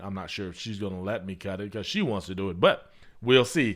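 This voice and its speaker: At a very fast pace, a man speaks in a fairly low pitch. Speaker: podcast host. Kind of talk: casual monologue. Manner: conversational, repetitive.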